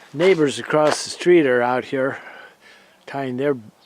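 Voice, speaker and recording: Noticeable background noise sits behind a man speaking at medium pitch with fairly even intonation. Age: 70s. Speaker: vlogger. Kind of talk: casual video tour narration. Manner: halting.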